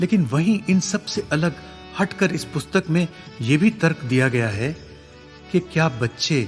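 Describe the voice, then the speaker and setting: Music plays in the background. Over it, a man speaks at a high pitch with lively intonation. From India. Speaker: voice actor. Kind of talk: book review narration.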